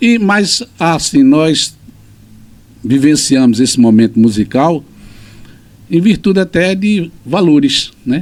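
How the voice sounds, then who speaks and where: Speaking at a very slow pace with long, frequent pauses, a man keeps very even loudness while his fairly high pitch makes very wide swings. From Pernambuco, Brazil (Lagoa dos Gatos, Cupira). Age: 60s. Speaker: teacher and writer. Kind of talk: interview.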